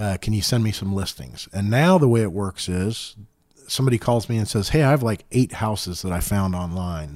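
A plain, everyday voice from a man with an American accent, fairly low-pitched and fairly quick, with ordinary pitch variation, on a very clean recording with a silent background. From Indiana, Center Grove area. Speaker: real estate agent and entrepreneur. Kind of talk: casual chat.

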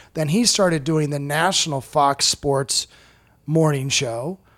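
A man with a US Midwestern accent at a moderate pace, on a very clean recording with a silent background. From US Midwest, Iowa. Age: 40s. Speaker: stand-up comedian. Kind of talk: casual chat.

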